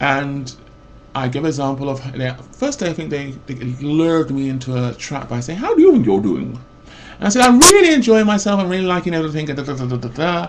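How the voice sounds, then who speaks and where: A man's fairly high voice at a very fast pace, with lively intonation and audible room echo. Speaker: vlogger. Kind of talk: personal rant. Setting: webcam recording. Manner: loud; rambling with false starts.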